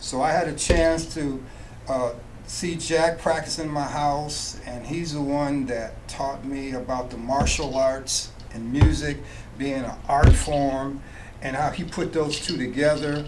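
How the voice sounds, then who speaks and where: Against noticeable background noise and audible room echo, a man speaks at a fairly slow pace in a monotone, flat intonation with a fairly high pitch. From Nebraska, US Midwest. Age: 70s. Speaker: jazz musician turned finance professional. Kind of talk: radio interview.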